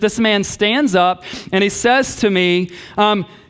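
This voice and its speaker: A man talks in a high voice. There is noticeable background noise. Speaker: pastor. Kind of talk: sermon. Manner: fast.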